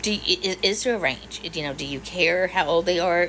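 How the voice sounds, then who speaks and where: The speaker talks fairly quickly in an American accent, with noticeable background noise. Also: woman. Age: 50s. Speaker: social media creator. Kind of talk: casual chat to camera. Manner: animated.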